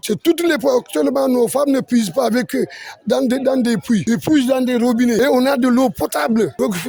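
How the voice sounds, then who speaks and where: A man is speaking. His pitch is extremely high. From Senegal, Ziguinchor. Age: 60s. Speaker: neighbourhood chief. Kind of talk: news interview.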